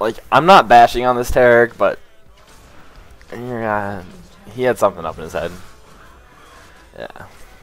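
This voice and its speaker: Music in the background behind a man's medium-pitched voice at a moderate pace, with long, frequent pauses. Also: ordinary pitch variation. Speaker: gaming commentator. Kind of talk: live gameplay commentary. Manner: casual, filler-heavy.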